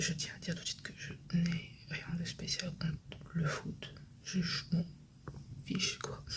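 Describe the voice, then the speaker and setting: A woman whispers very slowly, stopping often for long pauses. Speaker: vlogger and shop owner. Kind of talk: casual vlog talk to camera. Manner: speaking softly.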